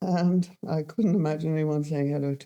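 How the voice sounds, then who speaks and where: A woman with a southern English accent talks at a moderate pace in a very deep, low, dark and mellow voice with fairly even intonation. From London, England. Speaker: fashion designer. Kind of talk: interview. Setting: school studio.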